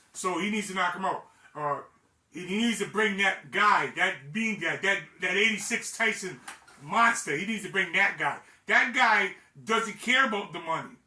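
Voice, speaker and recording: A man with a high pitch speaks in a raised, projected voice and an animated tone. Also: ordinary pitch variation, moderate pace. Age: 60s. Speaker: boxing commentator, former fighter. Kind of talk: casual commentary monologue. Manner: halting, many repetitions.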